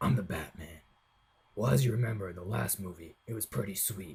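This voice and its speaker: A man's put-on character voice, raspy and very deep, with lively intonation at a fairly quick pace. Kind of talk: comic parody. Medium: voice reel. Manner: rambling, casual, full of filler words.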